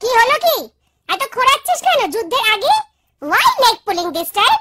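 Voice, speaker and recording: A squeaky, cartoonish character voice, female-sounding and extremely high-pitched, moves at a fairly quick pace. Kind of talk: comic cartoon voice acting. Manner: bossy, teasing.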